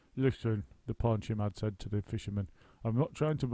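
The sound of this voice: With ordinary pitch variation, the text comes in an unforced reading voice.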